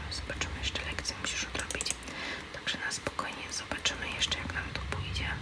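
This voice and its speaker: Whispering at a fairly quick pace, a woman speaks over noticeable background noise. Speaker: ASMR gaming creator. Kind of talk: ASMR gameplay commentary. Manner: whispered.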